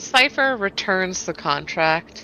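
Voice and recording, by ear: In a bright, sharp tone, a woman with a fairly low pitch speaks slowly with lively intonation.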